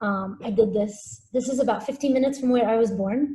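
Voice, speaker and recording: Fairly high-pitched female speech, somewhat breathy, with a dark, mellow tone. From UAE, Abu Dhabi area, Syrian-Palestinian family. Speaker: visual artist. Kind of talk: artist talk presentation. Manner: hesitant, many fillers.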